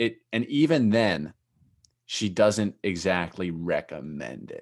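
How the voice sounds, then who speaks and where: A man speaks with a plain, everyday voice and lively intonation. The background is quiet. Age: 20s. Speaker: entrepreneur and podcast host. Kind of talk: casual interview chat.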